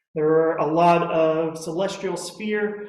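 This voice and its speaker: A man with an American accent talks at high pitch with ordinary pitch variation. Noticeable background noise and audible room echo fill the recording. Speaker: physics instructor. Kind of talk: lecture. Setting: lecture room with audience, also streamed on Zoom.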